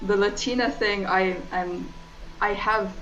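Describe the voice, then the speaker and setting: Over background music and audible room echo, a woman talks at a medium pitch. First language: not English (English is third language). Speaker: streamer. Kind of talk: casual chat. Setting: live stream. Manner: relaxed.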